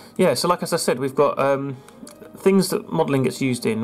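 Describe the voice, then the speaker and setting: The speaker talks at a very fast pace with music in the background. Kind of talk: casual screen-recorded commentary.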